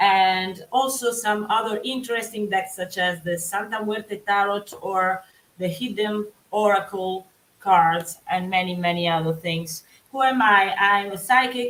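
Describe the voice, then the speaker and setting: A woman speaks with an Italian accent. Her intonation stays fairly even. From Italy. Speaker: psychic. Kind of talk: live tarot reading. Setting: live stream. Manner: halting.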